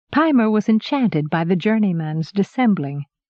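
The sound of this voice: Lively intonation in an unforced reading voice.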